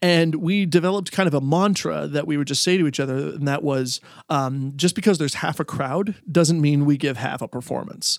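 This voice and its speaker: Speaking in a normal speaking voice with a Canadian accent, a man talks at a fairly quick pace with hardly any pauses, a fairly high pitch and ordinary pitch variation, on a very clean recording with a silent background. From Canada, Ontario. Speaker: museum worker and musician. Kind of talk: casual chat.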